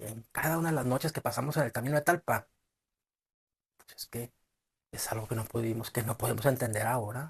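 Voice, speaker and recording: In a dry, close recording with no echo, a man with a northern Mexican accent sounds somewhat breathy, speaking at a fairly quick pace with ordinary pitch variation. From northern Mexico. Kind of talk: short story reading. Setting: amateur home recording. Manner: expressive, in character.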